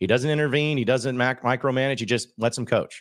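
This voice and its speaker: The voice has an American accent and a fairly quick pace. The recording is very clean, with a silent background. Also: man. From Arkansas, US South. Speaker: sports podcaster. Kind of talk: casual sports interview. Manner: animated.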